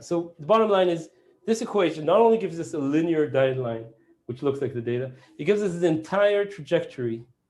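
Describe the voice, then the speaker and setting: A man speaks at a very fast pace in a high pitch, with lively intonation. There is audible echo in the room. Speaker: professor. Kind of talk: lecture.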